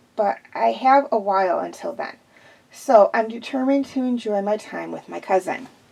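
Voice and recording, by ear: A passage is being read aloud in a natural voice.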